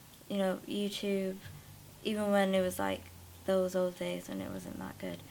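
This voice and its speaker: With a Welsh accent, a woman speaks at a fairly slow pace. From South Wales. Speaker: acting student. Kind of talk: interview. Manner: halting.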